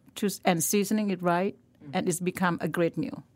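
A woman speaks with a Thai accent at a medium pitch and with ordinary pitch variation. The recording is very clean, with a silent background. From northern Thailand, Lampang. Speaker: chef. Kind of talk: casual interview chat. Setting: podcast studio.

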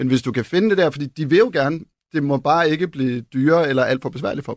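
On a very clean recording with a silent background, a man with a fairly high pitch uses an ordinary speaking voice, moving at a fairly quick pace with ordinary pitch variation. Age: 40s. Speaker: furniture designer. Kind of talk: interview conversation. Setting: radio studio.

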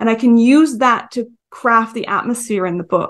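Ordinary pitch variation marks a normal speaking voice delivered at a moderate pace. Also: woman. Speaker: author. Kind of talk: interview chat.

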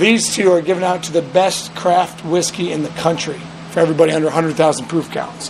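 Over noticeable background noise, a high-pitched man talks at a fairly quick pace with fairly even intonation. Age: 30s. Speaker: distillery owner. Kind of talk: interview.

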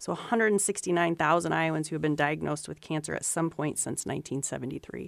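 With vocal fry and a very deep, low pitch, a woman speaks at a fairly slow pace with ordinary pitch variation. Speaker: cancer registry director, epidemiologist. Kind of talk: expert panel discussion on radio. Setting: studio.

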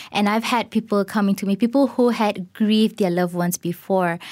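At a moderate pace and with fairly even intonation, a normal speaking voice comes through on a very clean recording with a silent background. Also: woman. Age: 30s. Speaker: corporate marketer sharing personal grief story. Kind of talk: personal testimony interview.

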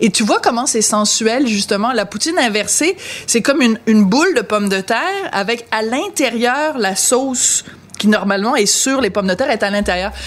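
Noticeable background noise accompanies a woman with a fairly high pitch. She speaks at a moderate pace with ordinary pitch variation. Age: 50s. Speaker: podcast host. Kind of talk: casual chat. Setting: at home dinner.

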